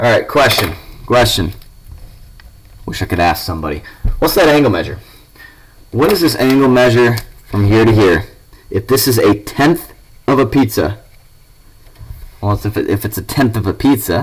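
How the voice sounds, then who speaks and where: A man speaks at a moderate pace and a medium pitch, with lively intonation and a somewhat breathy voice. He leaves long, frequent pauses. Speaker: math teacher. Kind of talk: recorded lesson. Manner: casual.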